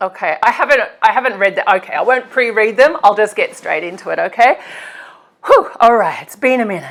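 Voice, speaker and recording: Lively intonation comes through in an Australian accent. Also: woman. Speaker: occult practitioner and YouTuber. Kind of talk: casual Q&A vlog. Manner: hesitant, many fillers and repetitions.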